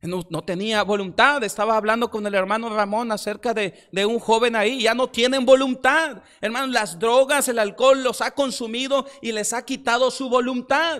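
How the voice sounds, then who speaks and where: A man talks at a moderate pace with an extremely high pitch and ordinary pitch variation. He leaves hardly any pauses. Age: young. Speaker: pastor. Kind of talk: sermon. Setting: church. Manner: halting.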